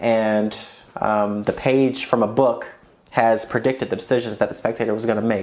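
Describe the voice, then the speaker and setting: The intonation stays fairly even. Noticeable noise runs in the background. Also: man. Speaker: magician reviewing magic tricks. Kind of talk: product review to camera. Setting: talking into a camera. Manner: fast.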